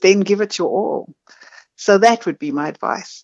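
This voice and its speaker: This is a woman speaking with a South African accent. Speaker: marketing agency founder. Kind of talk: casual interview chat.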